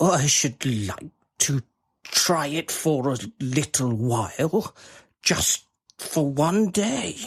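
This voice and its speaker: Using a put-on character voice at a fairly high pitch, a man speaks at a very slow pace with long, frequent pauses. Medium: audio drama. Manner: earnest, hesitant.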